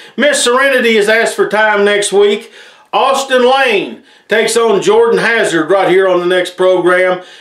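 Speaking at a moderate pace in an American accent, a man with a high voice keeps his loudness very even and his pitch variation ordinary, with audible room echo and a quiet background. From Appalachia, Tennessee/Virginia region. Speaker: wrestling show host. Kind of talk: promotional show hosting, announcements; news announcement to camera.

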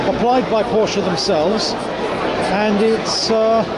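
A man talks while crowd noise fills the background. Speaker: car enthusiast vlogger. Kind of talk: casual vlog commentary. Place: hall. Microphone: phone near.

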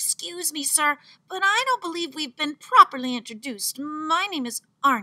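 A put-on character voice, high in pitch, at a moderate pace. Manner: sweet, polite, falsely innocent.

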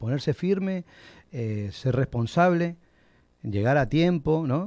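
A man with an Argentine accent speaks in a dark, mellow tone with lively intonation. The sound is dry with no echo, over a quiet background. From Argentina, moved to Puerto Rico as a child. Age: 50s. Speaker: restaurant owner; interview guest. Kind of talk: interview. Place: studio. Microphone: studio mic.

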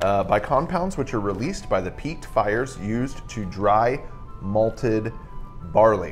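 Faint background music can be heard. A man talks over it at a fairly slow speed. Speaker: co-host. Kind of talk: casual explanatory chat. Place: home room.

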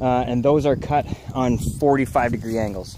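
Noticeable background noise sits under a man's voice, which has ordinary pitch variation and a dry sound with no echo. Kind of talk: casual vlog chat. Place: open country. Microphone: phone near.

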